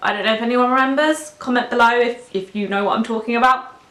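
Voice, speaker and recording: A woman speaks with a British accent. Noticeable background noise is present. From UK. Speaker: lifestyle vlogger. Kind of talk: casual vlog talk to camera. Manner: hesitant, many fillers.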